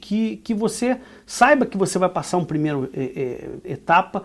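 A man speaks with lively intonation in a Brazilian accent. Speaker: immigration consultant and business owner. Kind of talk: casual podcast chat, explanatory. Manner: hesitant, many fillers and repetitions.

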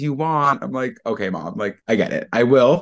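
A man with an American accent talks at a fairly quick pace and medium pitch in a plain, everyday voice. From Long Island, New York. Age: 20s. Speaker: podcast cohost. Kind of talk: casual interview storytelling.

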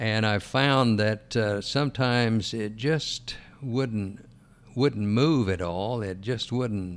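The pace of this man's speech is very slow. His pitch stays medium. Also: ordinary pitch variation. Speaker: weight-loss success story, retiree. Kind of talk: interview. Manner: halting, with many fillers.

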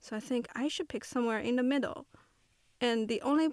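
A woman with a Chinese accent, a high pitch and ordinary pitch variation, on a very clean recording with a silent background. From China, Shanghai. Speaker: photographer. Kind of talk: interview. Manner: soft-spoken; halting.

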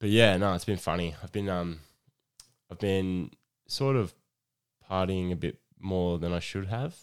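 A man with an Australian accent and a very deep, low pitch speaks at a moderate pace with ordinary pitch variation and long, frequent pauses. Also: very clean recording, silent background. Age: 20s. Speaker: podcast host. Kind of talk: casual monologue.

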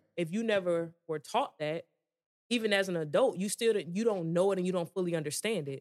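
Fairly quick speech from a woman at a medium pitch, the variation in her pitch ordinary. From Georgia, US South. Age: 30s. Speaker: army soldier. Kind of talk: casual chat.

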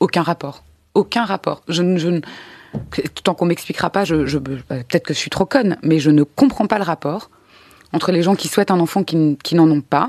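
A woman with a fairly low pitch speaks at a moderate pace, taking long, frequent pauses. Her pitch varies in an ordinary way, and the sound is dry and close with no echo. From Belgium, Brussels. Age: 30s. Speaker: interview guest. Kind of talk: testimony.

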